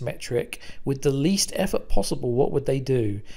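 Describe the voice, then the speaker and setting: In a British accent with vocal fry, the speaker moves at a moderate pace through very wide pitch swings. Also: man. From Britain. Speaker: business consultant. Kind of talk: conference presentation.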